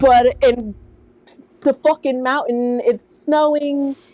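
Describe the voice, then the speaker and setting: Noticeable background noise runs behind a woman speaking with an American accent. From New Jersey / New York. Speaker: tattoo artist. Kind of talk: interview answer. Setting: remote call. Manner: casual, profane storytelling.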